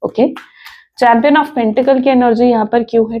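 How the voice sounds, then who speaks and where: A woman's voice with vocal fry and fairly even intonation. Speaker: tarot reader. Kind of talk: tarot reading monologue. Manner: conversational, Hindi-English code-switching.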